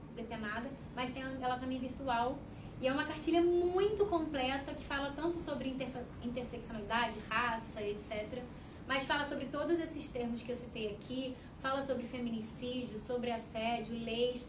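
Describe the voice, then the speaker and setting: A woman speaks at a moderate pace in a high voice, with ordinary pitch variation. Audible echo fills the room. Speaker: panel speaker on women's rights. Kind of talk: panel talk. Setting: debate event at a union headquarters.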